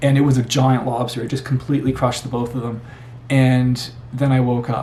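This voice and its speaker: Over noticeable background noise, a man with a Canadian accent talks at a fairly quick pace in a monotone, flat intonation. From Canada. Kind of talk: personal testimony. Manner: casual, repetitive with false starts.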